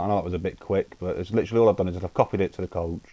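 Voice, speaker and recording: Quick words at a very fast pace come from a man with a British accent, his very deep, low pitch and dark, mellow tone heard over a quiet background. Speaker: gaming livestreamer. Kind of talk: live gameplay tutorial. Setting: live stream.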